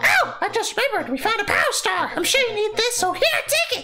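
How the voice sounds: A put-on character voice at an extremely high pitch and a fairly quick pace, with clear background noise.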